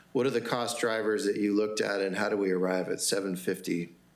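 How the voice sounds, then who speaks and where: Audible room echo follows a man who speaks at a fairly quick pace with a fairly low pitch and fairly even intonation. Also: very even loudness. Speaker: city councilmember. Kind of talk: council meeting questioning. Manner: fast.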